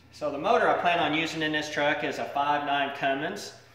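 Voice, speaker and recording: A man speaks at a moderate pace. Audible echo from the room surrounds his voice. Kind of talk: casual explanation of a project. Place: garage. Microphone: phone near.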